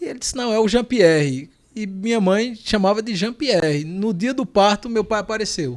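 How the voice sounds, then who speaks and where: In a Pernambuco accent, a man with a high pitch talks at a moderate pace with lively intonation. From Pernambuco, Brazil (Panelas). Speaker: lawyer. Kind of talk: interview. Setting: podcast studio.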